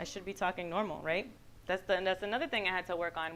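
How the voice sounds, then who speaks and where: A woman with a Puerto Rican accent talks at a very fast pace in an animated, bright, sharp tone. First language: Spanish. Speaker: guest speaker. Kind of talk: motivational talk. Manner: loud.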